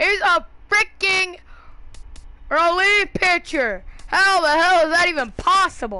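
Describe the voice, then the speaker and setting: Raised and projected, a woman's voice sounds bright and sharp at an extremely high pitch. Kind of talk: casual gaming chat while opening card packs. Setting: home recording of a video game. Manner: casual, thinking aloud, rambling and excitable.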